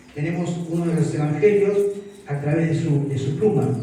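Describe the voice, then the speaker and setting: Amid audible room echo and noticeable background noise, a man talks at a moderate pace in a high voice. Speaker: missionary preacher. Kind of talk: Bible teaching at youth camp. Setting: camp meeting with audience.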